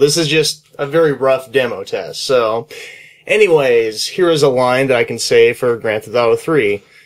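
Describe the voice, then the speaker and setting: Here a man speaks at a fairly quick pace and a medium pitch. His pitch variation is ordinary, and his is an ordinary speaking voice. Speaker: voice-over narrator. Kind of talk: casual talk. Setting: home recording, low-quality camera mic.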